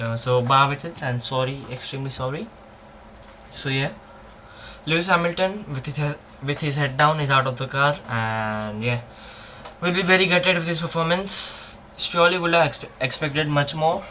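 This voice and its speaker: A man speaks at a moderate pace. His pitch is fairly high, with ordinary pitch variation. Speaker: F1 watchalong streamer. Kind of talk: live commentary. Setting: live stream. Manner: halting, fumbling.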